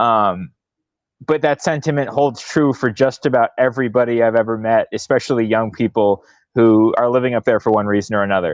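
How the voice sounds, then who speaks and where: A man with an American accent talks fairly quickly at medium pitch, with ordinary pitch variation. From US Midwest, St. Louis, Missouri. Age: 20s. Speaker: author. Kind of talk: book club discussion.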